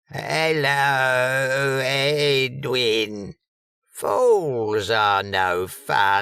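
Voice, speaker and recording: Using a put-on character voice, a man speaks at medium pitch and a very slow pace. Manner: kind, gentle.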